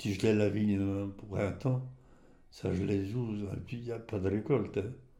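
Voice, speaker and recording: Audible room echo surrounds a man's fairly low, dark, mellow voice. He talks at a fairly slow pace with fairly even intonation. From rural Champagne, Aube (Côte des Bar), France. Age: 80s+. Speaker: retired winegrower. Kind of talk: oral history interview. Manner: halting, with many repetitions and hesitations.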